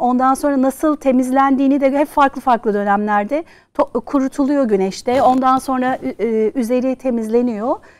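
Moving at a moderate pace, a woman speaks in a high pitch with ordinary pitch variation. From Turkey (born in Switzerland, moved at seven). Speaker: charity founder; talk show guest. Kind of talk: casual chat. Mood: warm, lively storytelling. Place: studio.

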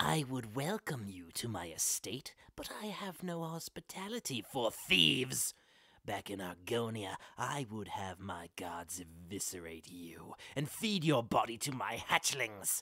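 A put-on character voice at a low pitch carries a menacing, theatrical tone at a fairly slow pace. The recording is very clean, with a silent background. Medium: voice reel. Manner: menacing, cold, theatrical.

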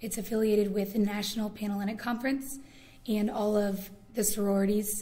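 A woman with an American accent speaks at a fairly quick pace in a medium pitch with monotone, flat intonation. Audible room echo and noticeable background noise are present. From Indiana. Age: 20s. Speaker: student leader. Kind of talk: oral history interview.

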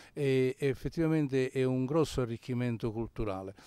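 The man's medium-pitched voice has a dark, mellow tone and fairly even intonation. It is recorded very cleanly against a silent background. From Ischia, Italy. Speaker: charity volunteer. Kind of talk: interview. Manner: hesitant, many fillers.

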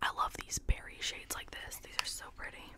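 A soft-spoken woman whispers at a fairly slow pace. Light background noise is present. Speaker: beauty creator. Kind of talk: casual makeup review chat. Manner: soft close-mic ASMR whisper. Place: home room. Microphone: studio mic.

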